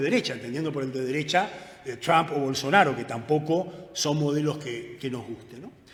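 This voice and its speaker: Amid noticeable background noise and audible room echo, a man speaks at a fairly quick pace in a fairly high pitch. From Argentina. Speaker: economist. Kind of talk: lecture. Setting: conference with audience. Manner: fast.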